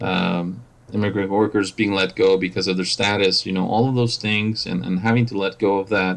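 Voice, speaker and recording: There is noticeable background noise. A man speaks at a fairly low pitch and a moderate pace, with ordinary pitch variation. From Mexico. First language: Spanish. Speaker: operations manager. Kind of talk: podcast interview. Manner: halting, many fillers and repetitions.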